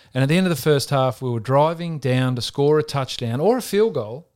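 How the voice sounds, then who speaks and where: Recorded very cleanly with a silent background, a man with an Australian accent talks fairly quickly at a fairly high pitch with lively intonation. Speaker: former Australian rules footballer turned NFL punter. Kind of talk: interview, casual sports chat.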